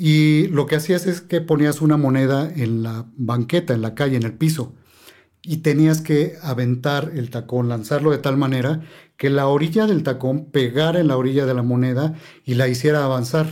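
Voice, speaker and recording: A man with a dark, mellow tone and fairly high pitch talks at a moderate pace with ordinary pitch variation. The recording is very clean, the background silent. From Mexico City. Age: 50s. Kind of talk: casual chat.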